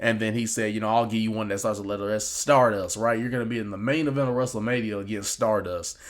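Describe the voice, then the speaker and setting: A man speaks very fast with hardly any pauses, his fairly low pitch held in a fairly even intonation, and audible room echo around him. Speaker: wrestling reaction YouTuber. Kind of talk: casual video commentary. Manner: casual, filler-heavy.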